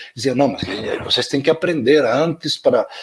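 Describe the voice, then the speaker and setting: There is noticeable background noise as a man with a fairly high voice speaks at a moderate pace. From Spain. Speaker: education professor, invited speaker. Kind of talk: webinar talk. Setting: online live stream.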